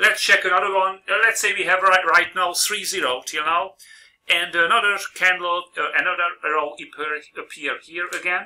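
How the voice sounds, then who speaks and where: The voice carries a non-native accent and a bright, sharp tone. Its pitch variation is ordinary. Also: man, high pitch for a man, moderate pace. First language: not English. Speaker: trading video host. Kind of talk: tutorial. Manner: halting.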